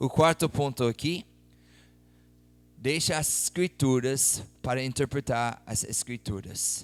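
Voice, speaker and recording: Music plays in the background as a man with a non-native accent and medium pitch speaks at a very slow pace, with ordinary pitch variation, long, frequent pauses, and a dry, close sound with no echo. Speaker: missionary preacher. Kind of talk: sermon.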